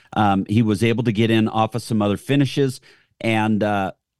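A man with a plain, everyday voice talks at a moderate pace and medium pitch. The sound is dry and close with no echo, and the background is quiet. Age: 60s. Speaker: golf radio co-host, son of a golf champion. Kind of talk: radio talk show.

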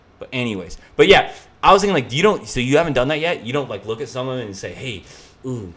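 A man talks at a very fast pace, with very wide pitch swings and big swings in loudness. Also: medium pitch for a man. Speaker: comedian podcast host. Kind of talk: casual chat.

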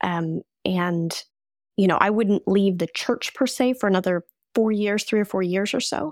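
A woman with an American accent and an unremarkable speaking voice talks at a moderate pace, at a medium pitch with ordinary variation, in a dry, close sound with no echo and a very clean recording over a silent background. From US Midwest and Colorado. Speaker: coach and former war correspondent. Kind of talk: podcast interview.

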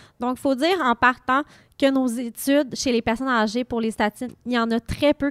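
A woman speaks at a moderate pace in a high voice with fairly even intonation, recorded very cleanly against a silent background with a dry, close sound and no echo. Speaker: hospital pharmacist. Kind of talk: interview.

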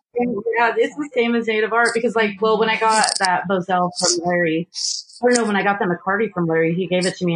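Woman speaking at a very fast pace, very even in loudness, with ordinary pitch variation and noticeable background noise. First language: Paiute. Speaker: photographer and children's author. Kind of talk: casual chat.

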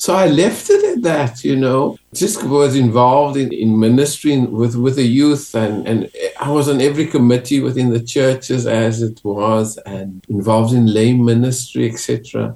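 A man with a South African accent, medium pitch, ordinary pitch variation, a dark, mellow tone, a moderate pace and hardly any pauses. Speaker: clergyman. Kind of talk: interview.

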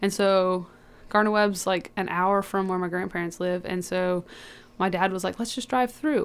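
On a very clean recording with a silent background, a woman speaks with an American accent at a medium pitch. Hers is an unremarkable speaking voice, with fairly even intonation and a moderate pace. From Georgia, US. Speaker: college athlete. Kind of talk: interview. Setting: studio.

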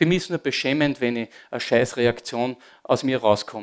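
A man with an Austrian accent speaks at a medium pitch. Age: 50s. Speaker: former disco owner giving testimony. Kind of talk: testimony. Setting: church service with audience.

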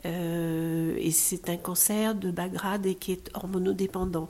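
A woman speaks at a medium pitch with fairly even intonation. Hers is an unremarkable speaking voice. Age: 60s. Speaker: breast cancer patient. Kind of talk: testimony.

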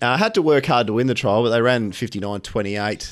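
On a very clean recording with a silent background, a man talks with an Australian accent. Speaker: racing tipster co-host. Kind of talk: casual racing preview chat.

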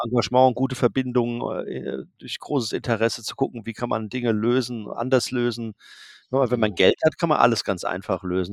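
A man speaks in a normal speaking voice at a medium pitch. The sound is dry and close, with no echo. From Germany, Darmstadt. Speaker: photographer. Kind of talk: interview. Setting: video call.

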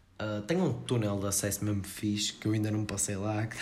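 Audible room echo surrounds a voice with a slight northern Portuguese accent. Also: man. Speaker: podcast host. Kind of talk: casual chat.

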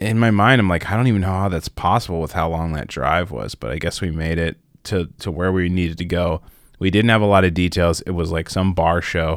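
His voice is very deep and low, with ordinary pitch variation. The man keeps a fairly quick pace. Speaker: podcast co-host and singer. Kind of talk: casual chat. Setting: video call.

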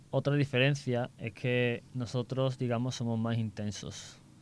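A plain, everyday voice at a fairly slow pace. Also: man. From Seville, Spain. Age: 20s. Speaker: architecture student on exchange. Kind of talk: casual interview; summary in English.

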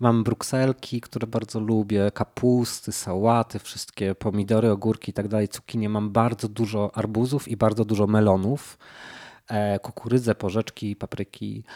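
On a very clean recording with a silent background and a dry, close sound with no echo, a man speaks at a fairly low pitch and moderate pace in a dark, mellow tone with monotone, flat intonation. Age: 30s. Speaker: painter. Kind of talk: casual chat.

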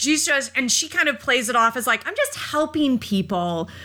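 A woman's high-pitched, raised, projected voice with a bright, sharp tone and very wide pitch swings, on a very clean recording with a silent background. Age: 30s. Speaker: horror podcast co-host. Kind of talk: casual chat.

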